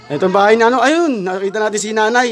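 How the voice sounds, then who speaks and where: A man talks in an extremely high-pitched voice with ordinary pitch variation. Noticeable background noise can be heard. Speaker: vlogger. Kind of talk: casual vlog talk and interview questions.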